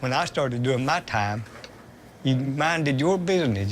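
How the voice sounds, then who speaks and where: A man's medium-pitched voice, fairly quick and lively in intonation, over noticeable background noise. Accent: Appalachian. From Kentucky mountains. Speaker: prison inmate. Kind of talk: documentary interview.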